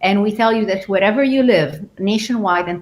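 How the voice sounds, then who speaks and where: A woman talks at a fairly quick pace, her voice somewhat breathy. Her pitch sits in the middle range, with ordinary variation. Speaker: physician researcher. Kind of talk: expert panel talk. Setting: live stream. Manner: fast.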